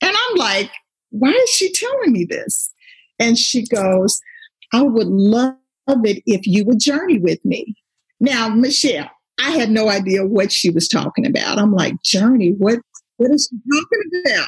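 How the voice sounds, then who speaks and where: In a normal speaking voice, a woman talks fairly slowly with fairly high pitch, lively intonation and very even loudness, in a dry, close sound with no echo. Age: 50s. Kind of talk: faith testimony.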